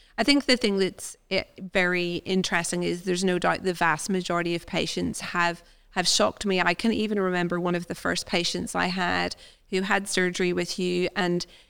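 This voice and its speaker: In a very clean recording with a silent background, a plain, everyday voice moves at a moderate pace. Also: woman. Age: 40s. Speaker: podcast host and family doctor. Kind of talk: casual interview.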